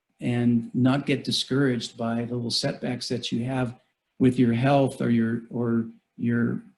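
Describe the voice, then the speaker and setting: A man's somewhat breathy, medium-pitched voice at a moderate pace, flat and monotone in intonation. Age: 60s. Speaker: mountaineer giving a talk. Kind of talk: Q&A after a presentation. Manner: halting, many fillers.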